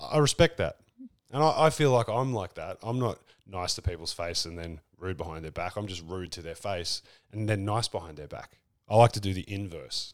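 With an Australian accent, a man talks at a fairly quick pace and fairly low pitch, with lively intonation and big swings in loudness. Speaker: podcast host. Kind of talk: casual comedic chat. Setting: live in Newcastle, in person. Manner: joking, irreverent, profane.

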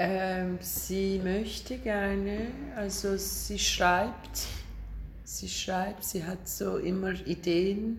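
Very slowly, a woman speaks through noticeable background noise and audible room echo. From Turkey, Istanbul. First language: Turkish (speaking German). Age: 50s. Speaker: film director. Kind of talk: casual interview over lunch. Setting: at a lunch table. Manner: halting.

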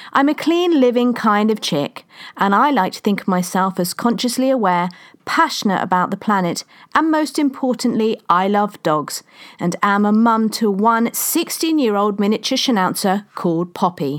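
Someone with a London accent speaks at a moderate pace using lively intonation. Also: woman, fairly high pitch for a woman. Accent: southern English (London). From London, England. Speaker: podcast host and women's coach. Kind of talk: scripted monologue.

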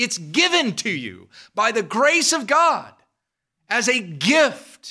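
In a very clean recording with a silent background, a man with an American accent uses a raised, projected voice, bright and sharp in tone, at an extremely high pitch with very wide pitch swings and a very slow pace. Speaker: preacher. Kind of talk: sermon. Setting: church.

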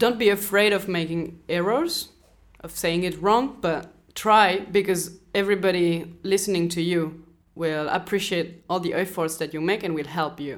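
A woman with a French accent speaks at a moderate pace in a fairly low pitch and fairly even intonation, in a very clean recording with a silent background. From France. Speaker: interviewee. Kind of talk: interview.

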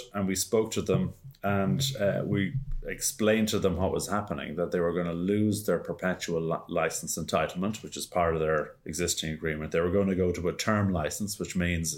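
A man in an Irish accent, very deep and low in pitch, with ordinary pitch variation and a fairly quick pace. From Ireland. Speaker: podcast co-host. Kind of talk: casual chat. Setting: video call.

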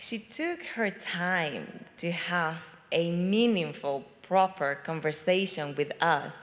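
A woman with a fairly low voice speaks at a very slow pace. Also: ordinary pitch variation. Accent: Venezuelan. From Venezuela. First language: Spanish. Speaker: immigrant church member. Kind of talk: testimony. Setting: stage with audience. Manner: animated.

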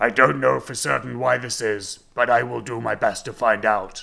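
This is a put-on character voice. It sounds raspy. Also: man, medium pitch for a man, moderate pace. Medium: read story. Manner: formal, stilted phrasing.

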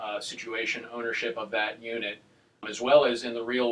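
Noticeable background noise sits under a man's medium-pitched voice. He speaks at a moderate pace in a monotone, flat intonation. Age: 30s. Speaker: real estate agent. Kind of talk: casual chat.

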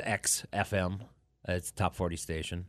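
A man speaks with an American accent in a very deep, low voice at a fairly slow pace. The background is quiet. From upstate New York (Watertown, Syracuse area). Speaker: radio DJ. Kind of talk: casual chat. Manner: halting, repeats words.

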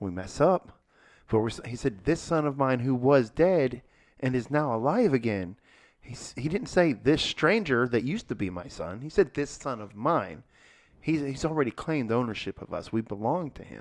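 Speaking at a moderate pace and medium pitch, a man with a plain, everyday voice uses lively intonation and big swings in loudness. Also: quiet background. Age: 40s. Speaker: podcast co-host discussing church sermon series. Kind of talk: casual chat. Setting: podcast room.

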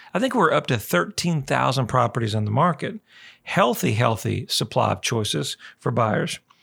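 A man's medium-pitched voice with vocal fry, very wide pitch swings and a moderate pace, on a very clean recording with a silent background. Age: 40s. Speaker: radio real estate show host. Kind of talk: radio talk show monologue. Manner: animated.

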